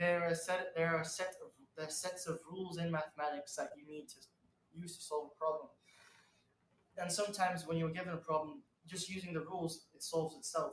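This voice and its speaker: A man's high voice at a fairly quick pace, with long, frequent pauses, big swings in loudness, and fairly even intonation. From UK. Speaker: actor, showbiz newcomer. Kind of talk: interview. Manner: halting, many restarts.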